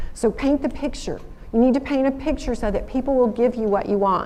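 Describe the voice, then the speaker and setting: A woman in a Southern US accent, ordinary pitch variation, and audible room echo. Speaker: alumna speaker, former lawyer. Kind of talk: school assembly talk. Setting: stage with audience. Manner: animated storytelling.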